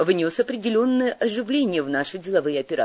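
Plain reading aloud with lively intonation.

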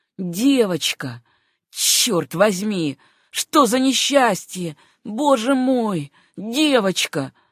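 A woman speaks at a very slow pace in a put-on character voice, medium in pitch with big pitch swings. The recording is very clean with a silent background and a dry, close sound with no echo.

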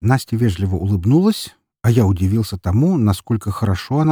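Plain reading aloud carries lively intonation over a quiet background.

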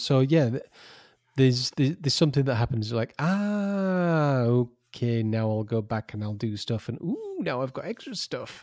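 This man has a plain, everyday voice at a medium pitch. He speaks at a moderate pace with lively intonation. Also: very clean recording, silent background. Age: 40s. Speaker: podcast co-host. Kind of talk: casual chat.

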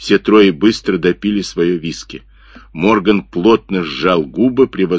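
The speaker simply reads a passage aloud.

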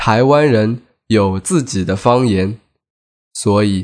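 A man speaking at a very slow pace, medium in pitch, with ordinary pitch variation over a quiet background. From mainland China. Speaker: podcast host teaching Chinese. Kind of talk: scripted narration.

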